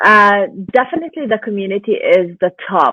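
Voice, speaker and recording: A woman speaks in a Lebanese accent at a moderate pace. Her pitch sits in the medium range. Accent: Lebanese Arabic accent, noticeable. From Lebanon. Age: 20s. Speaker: stay-at-home mom and online business owner. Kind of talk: interview. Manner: animated.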